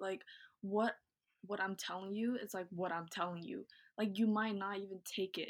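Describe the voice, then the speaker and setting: An ordinary speaking voice moves at a moderate pace with fairly even intonation, captured on a very clean recording with a silent background. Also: woman. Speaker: YouTuber and student. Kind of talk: casual chat.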